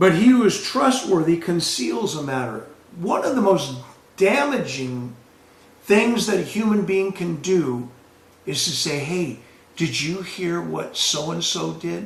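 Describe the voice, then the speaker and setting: A man with a high voice speaks at a fairly slow pace with very wide pitch swings, amid audible room echo and noticeable background noise. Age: 60s. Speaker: pastor. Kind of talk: sermon.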